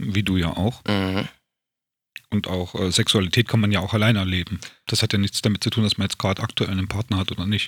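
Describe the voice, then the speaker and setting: In a very clean recording with a silent background and a dry, close sound without echo, a man speaks very fast in a fairly low pitch with monotone, flat intonation. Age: 40s. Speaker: self-help group organizer and podcast host. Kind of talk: casual chat.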